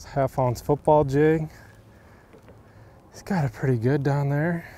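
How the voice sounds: At a fairly slow pace, a man speaks with a fairly high pitch, a dark, mellow tone and fairly even intonation.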